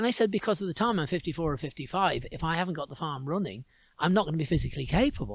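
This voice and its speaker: Over a silent background in a very clean recording, a man talks at a very fast pace with a fairly high pitch and vocal fry. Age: 70s. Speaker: singer, storyteller and goat farmer. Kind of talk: casual interview chat. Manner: conversational, some repetitions.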